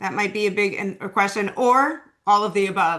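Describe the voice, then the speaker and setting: A woman speaks fairly quickly at a medium pitch, her tone bright and sharp. Audible room echo surrounds her. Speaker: veterinary oncologist. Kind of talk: webinar lecture. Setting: online webinar. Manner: fast; casual, many fillers.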